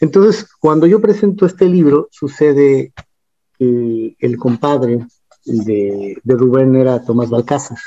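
A man's very slow speech, dark and mellow in tone, with lively intonation. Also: medium pitch for a man. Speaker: singer-songwriter and football history writer. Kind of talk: casual interview chat.

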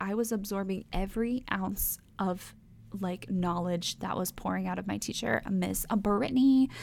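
With lively intonation, a woman speaks at a medium pitch in an American accent. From North Texas. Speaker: podcast host, esthetician. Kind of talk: casual monologue. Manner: chatty, filler-heavy.

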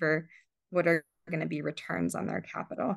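A woman's fairly low voice with vocal fry and an American accent. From Southern California, South African family. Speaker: climate investor and fundraiser. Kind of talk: interview. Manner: frequent fillers and hesitations.

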